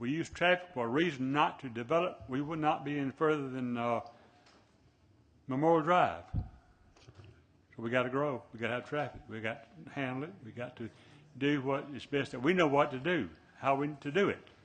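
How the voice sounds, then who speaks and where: Speaking at a moderate pace with a Southern US accent, a man makes big swings in loudness. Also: fairly high pitch for a man, ordinary pitch variation. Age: 80s+. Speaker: planning commissioner. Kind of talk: public meeting discussion. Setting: city planning meeting.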